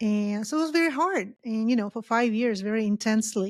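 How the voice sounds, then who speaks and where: Here a woman with a Polish accent speaks at a fairly high pitch. The recording is very clean, its background silent. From Poland. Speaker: professor. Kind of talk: podcast interview.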